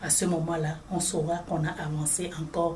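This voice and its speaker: Amid noticeable background noise, a woman speaks at a fairly low pitch in a monotone, flat intonation. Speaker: regional director of an NGO in Africa. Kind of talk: interview answer.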